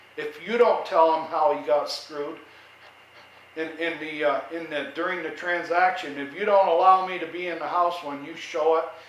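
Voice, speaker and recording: A loud man with an American accent and fairly even intonation, amid noticeable background noise and audible room echo. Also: moderate pace. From New York. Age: 70s. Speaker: vlogger, retired veteran homeowner. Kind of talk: casual monologue.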